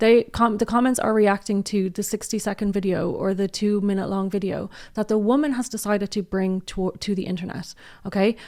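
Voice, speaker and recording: Animated tone in an Irish accent at a fairly quick pace, on a very clean recording with a silent background. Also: woman, medium pitch for a woman. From Ireland. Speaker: commentary youtuber. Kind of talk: casual commentary.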